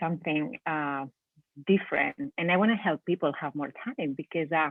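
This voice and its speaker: A woman with a Spanish accent speaks at a fairly low pitch. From Spain. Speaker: business owner. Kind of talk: interview. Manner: halting.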